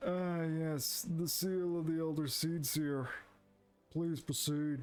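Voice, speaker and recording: A man's fairly high put-on character voice at a very slow pace. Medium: game stream. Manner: polite, formal.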